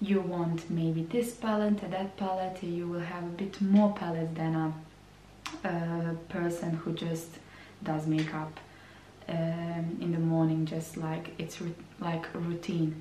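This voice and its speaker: Amid noticeable background noise and audible room echo, a woman speaks very slowly in a flat monotone at a fairly low pitch. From Croatia. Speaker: beauty vlogger. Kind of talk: vlog monologue. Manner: hesitant, repeats words.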